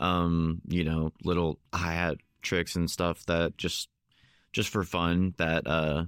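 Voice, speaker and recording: A man's very deep, low, monotone voice, dry and close with no echo, on a very clean recording with a silent background. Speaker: band member. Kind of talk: casual conversation.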